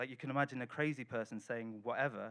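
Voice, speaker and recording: A man with a Welsh accent at a fairly quick pace. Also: quiet background. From Wales. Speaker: writer and translator. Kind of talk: reading from own novel at a literary festival.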